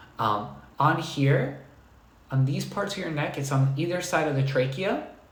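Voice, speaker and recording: Over noticeable background noise and audible room echo, a man talks at a moderate pace in a fairly high pitch with ordinary pitch variation. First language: not English. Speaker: dog trainer. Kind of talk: live stream Q&A talk. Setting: live stream on computer. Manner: soft-spoken.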